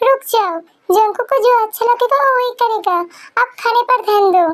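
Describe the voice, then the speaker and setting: This woman uses a put-on character voice pitched extremely high. She speaks at a moderate pace. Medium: read story. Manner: calm, soothing.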